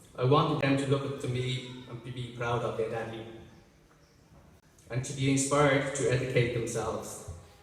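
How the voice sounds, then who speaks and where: Over noticeable background noise and audible room echo, a man with an Irish accent talks in a medium, monotone, flat voice at a moderate pace, leaving long, frequent pauses. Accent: Irish, deaf speaker. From Ireland, Dublin. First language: Irish Sign Language. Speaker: graduate, student speaker. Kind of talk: graduation speech. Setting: graduation ceremony, audience. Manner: halting.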